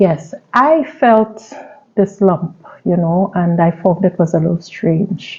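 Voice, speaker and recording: At a very slow pace, a woman speaks in a somewhat breathy voice with very even loudness. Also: medium pitch for a woman, ordinary pitch variation. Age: 60s. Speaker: cancer survivor. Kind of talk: testimony.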